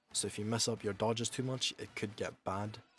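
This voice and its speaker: Over music in the background, a man speaks with monotone, flat intonation. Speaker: gaming guide creator. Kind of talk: game tutorial voiceover.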